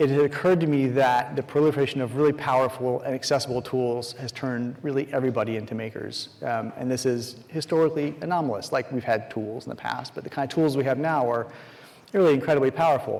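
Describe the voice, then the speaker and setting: A man with a medium pitch talks at a very fast pace with fairly even intonation. Noticeable background noise runs underneath. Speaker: conference speaker. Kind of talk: conference talk. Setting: stage with audience.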